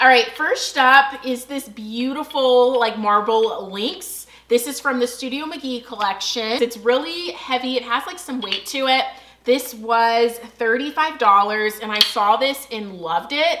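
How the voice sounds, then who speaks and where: A woman's high-pitched voice at a fairly slow pace over light background noise. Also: ordinary pitch variation. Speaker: home decor vlogger. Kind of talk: casual haul vlog chat. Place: home room.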